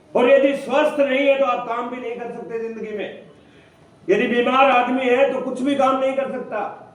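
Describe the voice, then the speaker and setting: A man's extremely high-pitched, monotone, flat delivery at moderate pace, with big swings in loudness, audible room echo and noticeable background noise. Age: 60s. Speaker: direct selling leader / motivational speaker. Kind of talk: motivational seminar talk.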